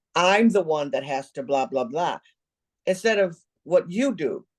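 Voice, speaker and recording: A woman with a medium pitch speaks at a fairly slow pace. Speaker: podcast host, nonprofit consultant. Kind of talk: casual interview.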